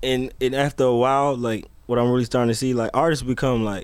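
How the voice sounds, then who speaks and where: At a very fast pace, a man talks with a slight Southern US accent. His medium pitch holds fairly even intonation. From US South, Atlanta. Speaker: music producer. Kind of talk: casual chat.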